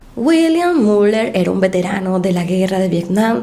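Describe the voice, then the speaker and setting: Amid noticeable background noise and audible room echo, a woman speaks at a medium pitch and a fairly slow pace with lively intonation. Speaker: true crime youtuber. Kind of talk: true crime narration.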